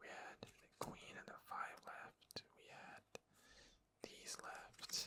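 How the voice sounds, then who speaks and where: The voice is whispering at a very slow pace. Long, frequent pauses run through it. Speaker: ASMR gaming content creator. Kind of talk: casual talk to camera, explaining a card game.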